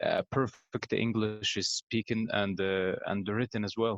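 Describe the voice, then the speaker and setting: A man with an Egyptian accent, hardly any pauses. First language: Arabic. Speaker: pharmacy student and English learner. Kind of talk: casual interview. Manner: halting, many fillers.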